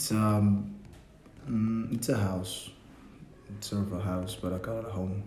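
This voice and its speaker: Through audible room echo and noticeable background noise, a man with a fairly low pitch speaks fairly slowly with fairly even intonation and long, frequent pauses. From Mexico, Yucatán. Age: 20s. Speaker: student. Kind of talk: interview. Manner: halting.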